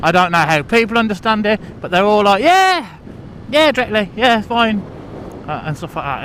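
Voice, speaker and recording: A man with a high-pitched voice talks at a moderate pace. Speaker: vlogger. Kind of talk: casual vlog monologue. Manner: rambling, halting. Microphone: muffled audio from inside helmet.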